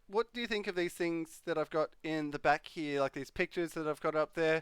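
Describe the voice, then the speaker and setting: In a very clean recording with a silent background, a high-pitched man with an Australian accent speaks at a moderate pace with ordinary pitch variation and a dry, close sound with no echo. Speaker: live streamer. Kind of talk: casual live stream chat. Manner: hesitant, many fillers.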